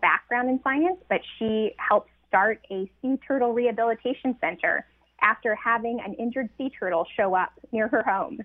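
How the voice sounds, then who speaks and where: At a moderate pace and with ordinary pitch variation, a woman talks in a normal speaking voice. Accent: American. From rural North Carolina. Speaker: nature photographer and social scientist, author. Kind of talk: radio interview.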